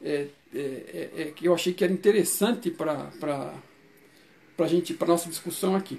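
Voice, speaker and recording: The delivery holds a moderate pace but is broken by long, frequent pauses. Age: 60s. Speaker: channel host explaining a book's theory. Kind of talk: informal talk. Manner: halting, many fillers and restarts.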